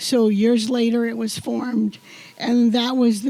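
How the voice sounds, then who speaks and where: Noticeable background noise surrounds a woman's voice. She speaks high in pitch at a fairly slow pace. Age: 80s+. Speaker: community volunteer being honored. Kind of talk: acceptance speech.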